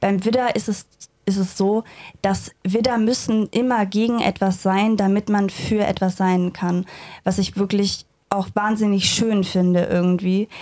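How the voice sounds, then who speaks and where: At a medium pitch and a fairly slow pace, a woman speaks in a dark, mellow tone with monotone, flat intonation. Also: very even loudness. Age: 20s. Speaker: astrology trainee. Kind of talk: interview.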